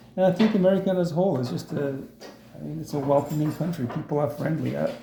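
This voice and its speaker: A man's fairly high voice with ordinary pitch variation, plus audible room echo and noticeable background noise. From South Africa. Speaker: immigrant interviewee. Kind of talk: interview. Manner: hesitant, many fillers.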